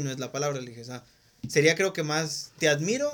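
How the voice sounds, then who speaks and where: A man talks at a fairly quick pace with ordinary pitch variation. His is a plain, everyday voice. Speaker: podcast host. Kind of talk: casual chat.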